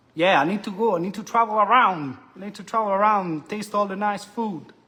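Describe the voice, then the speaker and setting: A man speaks in a raised, projected voice. He has an Italian accent. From Italy. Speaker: cooking show host. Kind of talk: live stream cooking and reading chat comments. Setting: live stream. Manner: animated.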